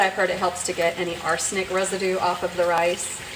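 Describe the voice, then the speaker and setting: At a fairly quick pace, a woman speaks at a medium pitch against noticeable background noise. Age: 60s. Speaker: cooking channel host. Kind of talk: live cooking demonstration. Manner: casual, chatty.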